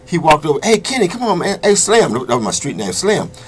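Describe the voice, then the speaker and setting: A man with an American accent speaks fairly quickly while noticeable background noise carries on behind him. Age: 60s. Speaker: former prisoner. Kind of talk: interview.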